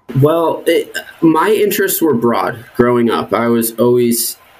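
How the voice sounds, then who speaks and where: A fairly slow voice with an American accent over noticeable background noise. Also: man. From New Jersey. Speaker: state wildlife herpetologist. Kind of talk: interview conversation.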